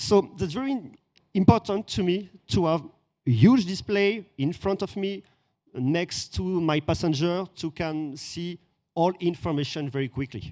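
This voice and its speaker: With a French accent and a dark, mellow tone, the speaker uses lively intonation at a fairly slow pace on a very clean recording with a silent background. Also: man, high pitch for a man. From France. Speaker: influencer visiting event. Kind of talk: casual interview. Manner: halting.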